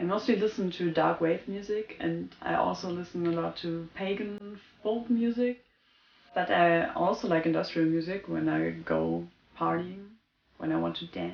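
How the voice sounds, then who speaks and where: At a moderate pace, a woman speaks with a German accent. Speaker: goth lifestyle vlogger. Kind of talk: casual vlog talk. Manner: spontaneous, somewhat halting.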